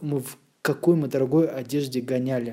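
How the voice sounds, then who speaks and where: A man speaks at a fairly slow pace in a fairly high voice with ordinary pitch variation. His tone is dark and mellow. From Moscow region, Russia. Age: 30s. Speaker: graphic designer. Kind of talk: casual chat.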